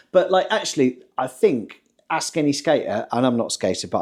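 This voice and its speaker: A man speaks with vocal fry and very wide pitch swings. The recording is very clean, with a silent background. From northern England, rural West Cumbria. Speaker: podcast co-host. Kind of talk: casual chat.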